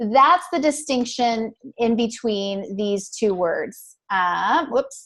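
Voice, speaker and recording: A woman with an American accent speaks very slowly at a fairly high pitch, her intonation lively. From US Midwest. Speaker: interpreting exam coach. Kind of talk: online tutoring session.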